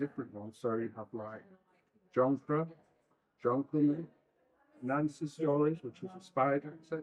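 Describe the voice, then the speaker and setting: The man speaks with ordinary pitch variation. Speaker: library trustee. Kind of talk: interview answer.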